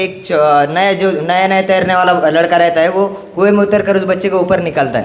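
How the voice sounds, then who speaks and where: Audible echo from the room, plus noticeable noise in the background. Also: man. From Marathwada, Maharashtra, India. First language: Marathi (speaking Hindi). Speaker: student activist speaker. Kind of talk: conference speech. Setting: stage at a youth conference. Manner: halting, many fillers and restarts.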